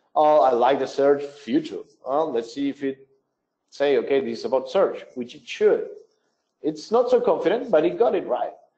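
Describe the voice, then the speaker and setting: A man's loudness rises and falls sharply as he talks at a moderate pace. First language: not English. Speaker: webinar presenter, business development. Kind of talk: software tutorial webinar. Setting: online webinar.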